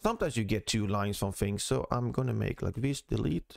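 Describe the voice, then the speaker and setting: A man speaks with a Swedish accent, his voice dry and close with no echo. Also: very clean recording, silent background. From Sweden. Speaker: CAD tutorial creator. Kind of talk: tutorial.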